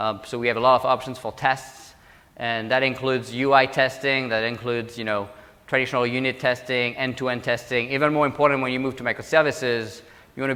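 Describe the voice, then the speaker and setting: A man's very fast, flat monotone at medium pitch in a French accent, over noticeable background noise. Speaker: government technology executive. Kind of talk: conference talk.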